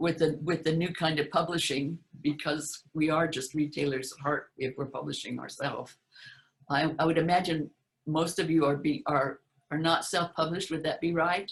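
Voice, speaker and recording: A woman with an American accent and a very deep, low pitch talks at a moderate pace in a somewhat breathy voice with monotone, flat intonation. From US West (Utah). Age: 80s+. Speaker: author giving conference talk. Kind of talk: conference presentation. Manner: halting, many repetitions.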